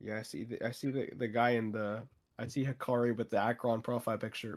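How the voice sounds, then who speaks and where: A strained-sounding man talks at a fairly quick pace and medium pitch. His intonation is monotone and flat, on a very clean recording with a silent background. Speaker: content creator. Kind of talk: casual chat. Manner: strained, barely able to talk.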